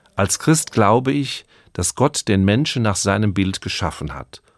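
In a very clean recording with a silent background and a dry, close sound with no echo, a man with a plain, everyday voice speaks at a fairly low pitch with lively intonation. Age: 60s. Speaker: radio preacher. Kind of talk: radio sermon. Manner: calm.

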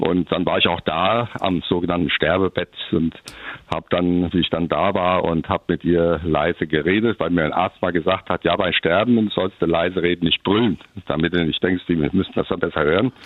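A man with a very deep, low voice talks at a moderate pace, his loudness very even and his intonation fairly even. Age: old. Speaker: retired pastor. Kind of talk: personal testimony.

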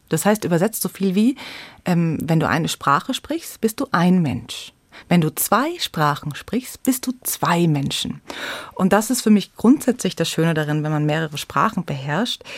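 A woman's fairly low voice with very wide pitch swings, a fairly slow pace, and a dry, close sound with no echo. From Munich, Bavaria. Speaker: storyteller and theatre educator. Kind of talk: radio interview.

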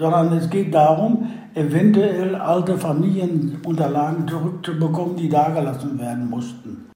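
Amid noticeable background noise and audible room echo, a man talks at a moderate pace with a strong Westphalian accent. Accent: broad Westphalian. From Westphalia, Germany. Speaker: reconciliation volunteer, son of expellee. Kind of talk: interview.

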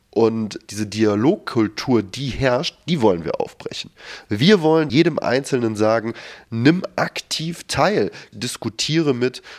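A man talks very slowly at medium pitch with lively intonation. The recording is very clean, with a silent background. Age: 30s. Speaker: founder of a discussion initiative. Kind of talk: interview.

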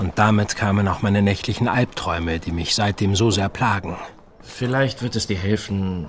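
With noticeable background noise behind him, a man uses a dramatic tone at a fairly low pitch and a moderate pace. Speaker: narrating detective in audio drama. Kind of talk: scripted audio drama, first-person narration. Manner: dramatic, suspenseful, tense storytelling; formal, period-style.

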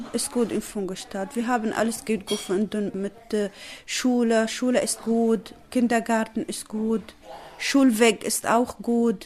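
A woman speaks very slowly with a non-native accent. Her fairly high voice stays monotone and flat. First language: not German (speaking German). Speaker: refugee mother. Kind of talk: interview answers. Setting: at home in living room.

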